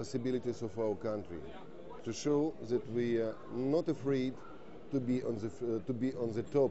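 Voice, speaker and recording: A man with a Russian accent speaks at a medium pitch with ordinary pitch variation. He leaves long, frequent pauses. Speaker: defence industry representative. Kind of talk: TV interview. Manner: halting.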